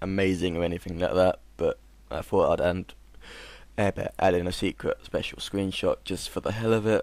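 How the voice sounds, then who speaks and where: A very clean recording with a silent background captures a man talking at a moderate speed. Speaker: gaming video creator. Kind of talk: tutorial; casual chat. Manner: monotone.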